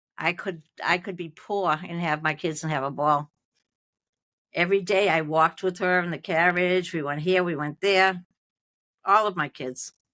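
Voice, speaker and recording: In a very clean recording with a silent background, a woman with a Boston accent speaks at a moderate pace in a bright, sharp tone, her fairly low pitch held to fairly even intonation, with long, frequent pauses. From Malden, Massachusetts. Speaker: retired nurse. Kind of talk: interview answer.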